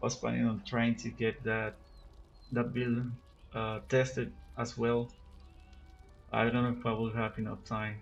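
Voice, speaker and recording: Music plays in the background as a man with a Spanish accent talks at a medium pitch. His intonation is monotone and flat, with long, frequent pauses. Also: moderate pace. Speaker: gaming youtuber. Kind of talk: unscripted gameplay commentary. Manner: halting, many repetitions and fillers. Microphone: recorded with cell phone.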